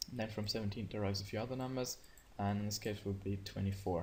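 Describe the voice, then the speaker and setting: This man's voice sits at a fairly low pitch. It comes across somewhat breathy. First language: not English. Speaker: gaming youtuber. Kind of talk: screen-share tutorial. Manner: hesitant, many fillers; casual.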